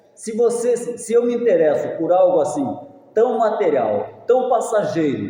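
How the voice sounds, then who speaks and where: Against noticeable background noise and audible room echo, the speech moves at a moderate pace. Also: man. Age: 70s. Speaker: pastor. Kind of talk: sermon.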